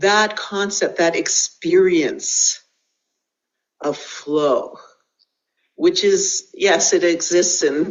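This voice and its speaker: Very slow delivery broken by long, frequent pauses. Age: 70s. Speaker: Qigong teacher and composer. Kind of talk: interview conversation.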